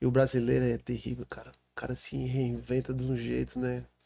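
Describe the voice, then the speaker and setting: The man speaks at a moderate pace. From Brazil, São Paulo coast (Baixada Santista). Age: 40s. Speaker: city councillor. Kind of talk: podcast interview.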